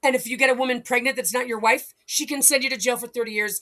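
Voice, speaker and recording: A woman speaks in a raised, projected voice. Her pitch is high and her tone bright and sharp. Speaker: video blogger. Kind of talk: agitated monologue. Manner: halting, repeating words; animated.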